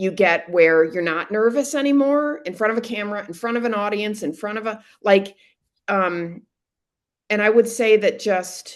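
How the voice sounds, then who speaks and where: A woman's unremarkable speaking voice, fairly high, with ordinary pitch variation at a moderate pace. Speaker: business owner and direct mail consultant. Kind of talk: casual interview.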